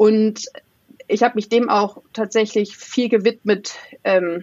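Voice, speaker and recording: A woman with a fairly high pitch speaks at a fairly slow pace, her intonation fairly even. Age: 30s. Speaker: former corporate engineer. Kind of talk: interview.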